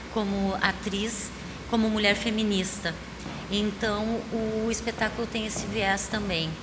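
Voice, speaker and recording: The intonation stays fairly even. Audible room echo and noticeable background noise are present. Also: woman. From southern Brazil, Porto Alegre. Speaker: stage actress. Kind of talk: interview. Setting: theater stage.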